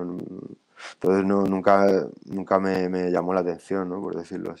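A man talks at a moderate pace with a very deep, low pitch. His intonation is monotone and flat. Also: quiet background. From Spain, Valladolid; Spain. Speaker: rapper. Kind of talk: casual chat. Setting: live stream. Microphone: video call.

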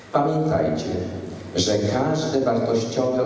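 A man speaks at a very slow pace. The room echo is strong, and there is light background noise. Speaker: school principal. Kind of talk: ceremonial speech. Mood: solemn, encouraging. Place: hall.

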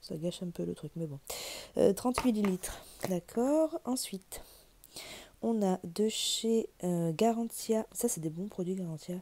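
Lively intonation marks a woman speaking at a very slow pace. She leaves long, frequent pauses over light background noise. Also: medium pitch for a woman. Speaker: beauty youtuber. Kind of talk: unboxing video. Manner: casual, conversational. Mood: cheerful, pleased. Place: home room. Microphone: phone near.

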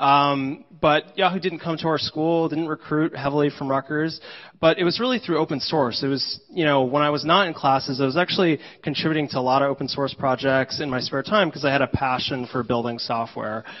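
In an ordinary speaking voice, a man with an American accent talks at a fairly quick pace and fairly high pitch, with ordinary pitch variation against a quiet background. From New Jersey, US. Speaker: engineering leader. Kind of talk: conference talk. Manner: frequent filler words. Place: hall.

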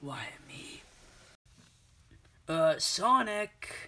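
This man talks at a high pitch with lively intonation.

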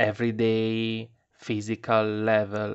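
In an Italian accent, a man speaks at a medium pitch. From Italy. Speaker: tarot reader. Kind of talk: tarot reading video. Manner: halting.

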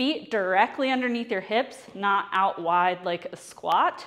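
A woman's very slow speech, bright and sharp in tone, against a quiet background. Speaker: fitness instructor. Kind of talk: tutorial. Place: gym. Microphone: lapel.

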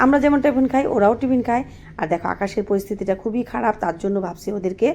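There is a dark, mellow tone and ordinary pitch variation in this woman's voice. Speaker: village vlogger raising goats. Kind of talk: casual vlog talk to viewers. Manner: halting, many filler words.

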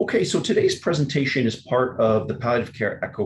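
A man speaks at a fairly quick pace in a somewhat breathy voice. The background is quiet. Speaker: webinar host. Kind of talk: formal webinar introduction. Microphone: webcam.

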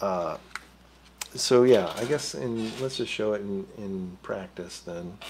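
At a slow pace, a man speaks with fairly low pitch, a slightly mellow tone, a slightly husky edge and lively intonation.

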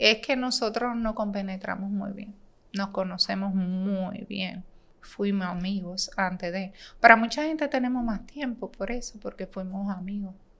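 The speaker is a woman with a mid-range pitch. Her pitch moves up and down in an ordinary way. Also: fairly slow pace. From Dominican Republic, San Pedro de Macorís; Dominican Republic. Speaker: bank manager; podcast guest. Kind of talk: casual interview. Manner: talkative. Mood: relaxed, warm. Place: studio. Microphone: studio mic.

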